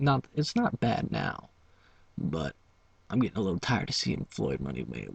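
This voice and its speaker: Vocal fry runs through a man's speech as his pitch swings very widely at a moderate pace. The sound is dry and close, with no echo. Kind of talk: ASMR whisper video, casual talk to camera. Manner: chewing gum while talking.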